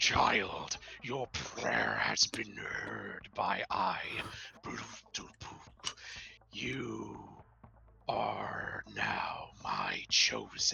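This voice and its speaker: A man speaks in a raspy, put-on character voice at a very slow pace, with long, frequent pauses. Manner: solemn, grand.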